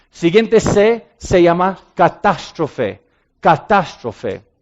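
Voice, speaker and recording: The speaker is a man with a high pitch. He talks at a very slow pace. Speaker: ministry director and speaker. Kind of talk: sermon-style talk. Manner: halting with frequent fillers.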